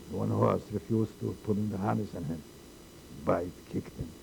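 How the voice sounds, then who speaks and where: Dark and mellow in tone, a man's voice shows vocal fry and very wide pitch swings. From Poland. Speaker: holocaust survivor. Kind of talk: oral history interview. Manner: halting.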